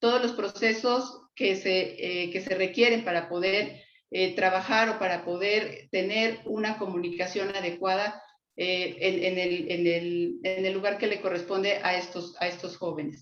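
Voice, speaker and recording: A woman at a medium pitch and a fairly slow pace, with audible room echo. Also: ordinary pitch variation. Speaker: psychologist lecturer. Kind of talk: lecture. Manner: halting, many fillers.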